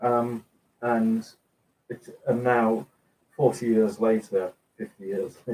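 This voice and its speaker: Speaking with an English accent, a man uses a medium pitch, ordinary pitch variation and a dark, mellow tone. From England. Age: 60s. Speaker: cooking video host. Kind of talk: live stream chat reading comments. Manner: halting, many fillers.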